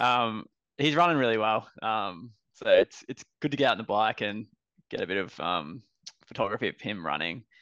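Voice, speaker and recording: A man's fairly low voice with a bright, sharp tone, lively intonation and an Australian accent, against a quiet background. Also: dry, close sound with no echo. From Brisbane, Australia. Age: 30s. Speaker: runner. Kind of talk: casual chat.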